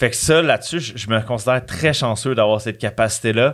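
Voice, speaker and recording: Against a quiet background, a man with a Quebec accent speaks with ordinary pitch variation. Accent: Québécois French. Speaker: author and bodybuilder; podcast guest. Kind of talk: casual chat. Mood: candid, animated. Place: studio. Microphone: studio mic.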